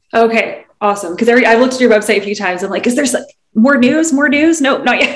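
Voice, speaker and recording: A woman talks very fast in a high voice with ordinary pitch variation, and room echo is audible. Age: 30s. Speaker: podcast co-host. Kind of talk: casual chat. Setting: video call.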